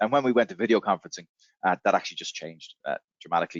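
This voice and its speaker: A man talks at a very fast pace. He has an Irish accent. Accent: Irish brogue. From Ireland. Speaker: software company representative. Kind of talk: webinar Q&A. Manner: hesitant with fillers.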